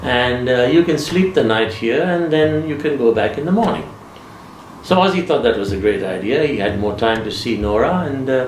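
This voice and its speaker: A medium-pitched man with lively intonation at a moderate pace, against noticeable background noise. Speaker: storyteller. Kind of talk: ghost story anecdote told in interview.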